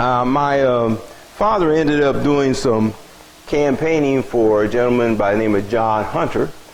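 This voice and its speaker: At a moderate pace, a man with an American accent talks at a medium pitch with ordinary variation, amid noticeable background noise and audible room echo. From US Midwest, Springfield, Illinois. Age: 70s. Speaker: local community elder sharing memories. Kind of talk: storytelling talk to audience.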